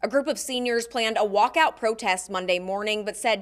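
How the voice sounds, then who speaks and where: A woman with an American accent speaks in a normal speaking voice at a moderate pace and fairly high pitch, with ordinary pitch variation, in a very clean recording with a silent background. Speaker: TV news reporter and anchor. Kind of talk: studio anchor news read.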